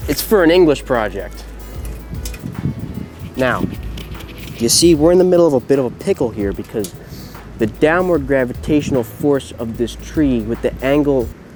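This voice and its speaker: A man with long, frequent pauses and music in the background. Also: moderate pace. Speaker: college student. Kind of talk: humorous how-to video to camera.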